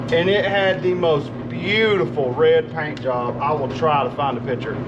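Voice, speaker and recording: Amid noticeable background noise and audible room echo, a man with a Southern US accent talks at a moderate pace with a fairly high pitch and lively intonation. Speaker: car mechanic YouTuber. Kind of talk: casual workshop vlog. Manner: loud.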